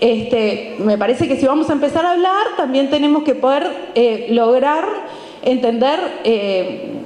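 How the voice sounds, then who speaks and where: At a fairly slow pace, a woman speaks in a high pitch with lively intonation and very even loudness, with audible room echo. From Uruguay. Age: 40s. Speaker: historian and university lecturer; university lecturer. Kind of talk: book presentation talk. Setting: event with live audience. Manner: halting, many fillers and repetitions. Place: stage. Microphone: handheld.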